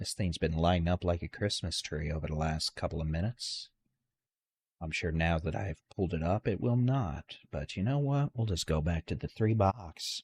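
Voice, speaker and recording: On a very clean recording with a silent background, a man speaks quietly and somewhat breathily at a very deep, low pitch, with lively intonation, a moderate pace and a dry, close sound with no echo. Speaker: weather livestream host. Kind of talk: live severe weather coverage. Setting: late night livestream. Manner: very quiet voice.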